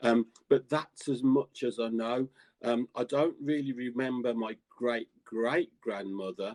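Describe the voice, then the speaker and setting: A man with a Birmingham accent, medium pitch, fairly even intonation and a fairly slow pace. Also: dry, close sound with no echo. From England, Birmingham. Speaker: psychic and tarot reader. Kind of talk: interview. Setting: live stream. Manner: halting.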